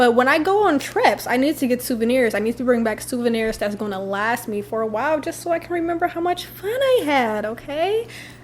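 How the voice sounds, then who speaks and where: A woman's high voice with very wide pitch swings, at a fairly quick pace with hardly any pauses, over noticeable background noise. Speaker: lifestyle vlogger. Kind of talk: casual favorites vlog. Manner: fast; animated.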